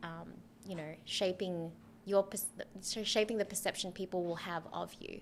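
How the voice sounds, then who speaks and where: A woman with an Australian accent and a medium pitch talks at a moderate pace with long, frequent pauses. Her intonation is flat and monotone, yet her loudness swings widely. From Philippines, raised in Australia. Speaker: PR professional. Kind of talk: interview answer.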